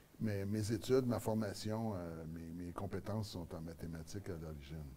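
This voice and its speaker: A man's very deep, low voice with a dark, mellow tone and a somewhat breathy quality, in a Quebec accent, at a moderate pace with ordinary pitch variation. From Quebec (Montreal), born in Acadian New Brunswick. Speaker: mayor and political candidate. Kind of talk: studio interview. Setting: TV studio. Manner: hesitant, many fillers and repetitions.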